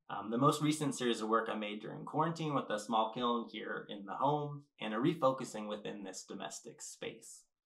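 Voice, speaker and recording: This man talks at a fairly quick clip with hardly any pauses, using a normal speaking voice at medium pitch, ordinary pitch variation, and big swings in loudness. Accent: American. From California. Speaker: ceramic artist. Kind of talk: lecture.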